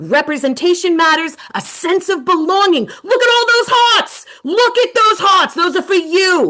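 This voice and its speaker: A woman speaks in a raised, projected voice. She has a New York accent. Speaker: education consultant and coach. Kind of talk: webinar presentation. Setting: video webinar. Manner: animated.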